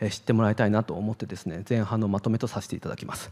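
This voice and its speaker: A man's dark, mellow tone against a quiet background. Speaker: psychiatrist; presenter. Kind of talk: lecture. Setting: online event talk. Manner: many filler words; fast. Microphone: handheld.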